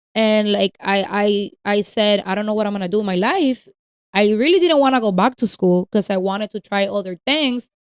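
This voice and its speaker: A woman speaks at a fairly quick pace in a Spanish accent, her pitch medium with ordinary variation. The sound is dry and close, with no echo. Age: 30s. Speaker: podcast co-host. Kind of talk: casual chat. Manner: code-switching between English and Spanish.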